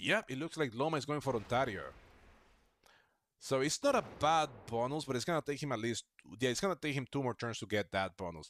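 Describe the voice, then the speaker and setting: Speaking at a fairly quick pace with a non-native accent, a man uses lively intonation at a medium pitch, recorded very cleanly against a silent background with a dry, close sound and no echo. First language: not English. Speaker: gaming streamer. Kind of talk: live gameplay commentary. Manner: casual, chatty.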